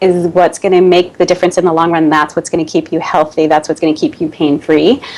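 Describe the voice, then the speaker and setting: Fairly low in pitch, a woman speaks with a Boston accent and fairly even intonation. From US, Boston. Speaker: Pilates studio owner and fitness expert. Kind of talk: interview.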